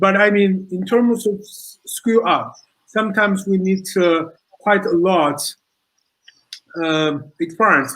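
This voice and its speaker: A man with a high pitch, ordinary pitch variation and a fairly slow pace. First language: not English. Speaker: social entrepreneur. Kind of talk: panel discussion. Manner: halting.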